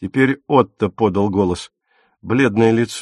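Heard in a natural reading voice with ordinary pitch variation, the speech sits on a quiet background.

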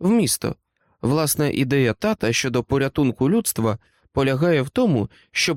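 Against a quiet background, someone reads aloud in a natural voice with lively intonation.

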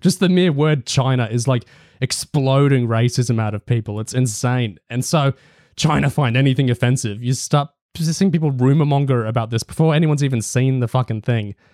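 An Australian accent with ordinary pitch variation. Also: man, medium pitch for a man. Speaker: podcast host. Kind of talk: casual panel discussion.

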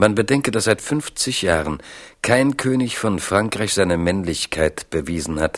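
A man's low-pitched voice at a slow pace with ordinary pitch variation.

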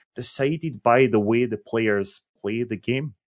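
Against a quiet background, a man talks in an unremarkable speaking voice at a medium pitch with ordinary pitch variation. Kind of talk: casual chat. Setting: live stream.

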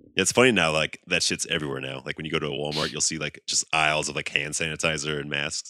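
Very fast and dry, with a close sound and no echo, a man's very deep, low voice comes through bright and sharp, with vocal fry and fairly even intonation. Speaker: podcast co-host. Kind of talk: casual chat. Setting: remote recording over the internet. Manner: laughs often.

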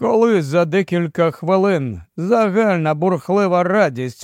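The pitch shows ordinary variation. The delivery is plain reading aloud.

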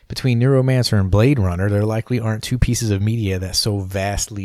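A man speaks quickly enough, at a fairly quick pace, in an unremarkable speaking voice with ordinary pitch variation on a very clean recording with a silent background. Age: 40s. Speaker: podcast host. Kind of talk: scripted narration. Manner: formal.

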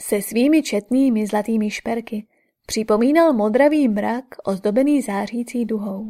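An unforced reading voice with ordinary pitch variation is heard against a quiet background.

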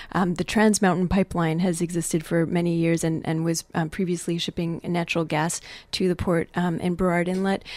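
A woman talks at a fairly quick pace in a fairly low pitch, with monotone, flat intonation and very even loudness. The recording is very clean, with a silent background. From Quebec, Montreal. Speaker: poet and environmental activist. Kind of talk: interview and poetry reading. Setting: radio studio.

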